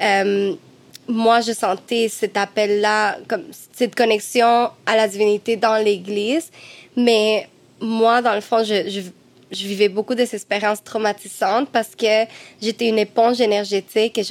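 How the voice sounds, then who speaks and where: With a plain, everyday voice, a woman speaks at a fairly slow pace, her pitch fairly high and her intonation fairly even. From Cuba. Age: 20s. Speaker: medium and singer. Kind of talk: casual chat.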